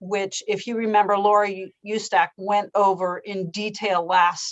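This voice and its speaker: Speaking at a medium pitch, a woman keeps a monotone, flat intonation. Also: fairly slow pace. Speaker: legislative staff analyst. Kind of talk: committee presentation.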